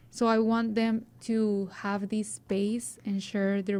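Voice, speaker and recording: Recorded very cleanly over a silent background, a woman with a Spanish accent speaks at a medium pitch in a dark, mellow tone with fairly even intonation. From Mexico, coast. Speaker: student journalist and podcaster. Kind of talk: interview. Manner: halting.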